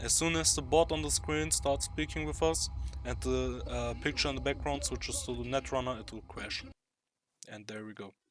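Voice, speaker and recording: A non-native accent at a fairly quick pace. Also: man. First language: not English. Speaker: gamer. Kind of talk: tutorial. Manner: halting.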